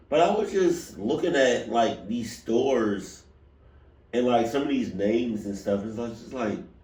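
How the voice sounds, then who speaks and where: Audible room echo surrounds a man whose medium pitch swings very widely as he talks at a fairly slow pace. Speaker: reaction video youtuber. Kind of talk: casual chat. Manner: halting.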